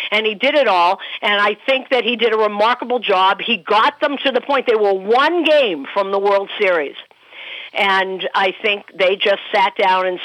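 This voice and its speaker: At a fairly slow pace, a woman with an unremarkable speaking voice talks at medium pitch with lively intonation. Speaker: baseball broadcaster. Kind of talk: casual chat.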